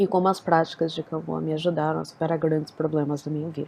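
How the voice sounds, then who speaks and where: Very fast speech from a woman with a fairly low pitch and fairly even intonation. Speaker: spiritual practitioner sharing personal story. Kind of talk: personal testimony.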